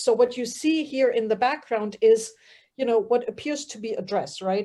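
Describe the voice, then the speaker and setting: A woman speaks with a German accent. Her tone is dark and mellow. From Germany. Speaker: fiber artist. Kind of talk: casual group chat.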